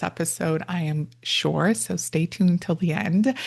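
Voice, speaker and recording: Against a quiet background, a woman speaks in a somewhat breathy, fairly low voice with ordinary pitch variation. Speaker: podcast host and therapist. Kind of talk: interview podcast.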